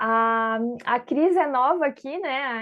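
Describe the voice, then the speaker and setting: A woman talks with a high-pitched voice. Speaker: online course instructor. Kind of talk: online class. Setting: video call.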